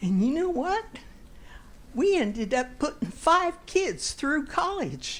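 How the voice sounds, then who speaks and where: Speaking at a very slow pace, a woman swings her pitch very widely. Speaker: shareholder speaking at meeting. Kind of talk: public comment at meeting. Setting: meeting hall with microphone.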